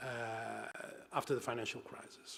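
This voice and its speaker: A man with a Portuguese accent. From Portugal and Brazil. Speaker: university professor, geographer and economist. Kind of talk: conference talk. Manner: halting, many fillers and repetitions.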